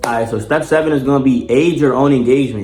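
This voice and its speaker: A man with an American accent talks very fast in a medium pitch with ordinary pitch variation. Noticeable background noise and audible room echo come through. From Baltimore, US. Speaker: YouTuber giving advice. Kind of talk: casual tutorial monologue. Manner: animated, casual.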